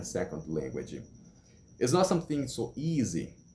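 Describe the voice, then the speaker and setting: With a Brazilian Portuguese accent, a man speaks in a dark, mellow tone with very wide pitch swings. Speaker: English learner vlogger. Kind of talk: casual vlog monologue. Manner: halting.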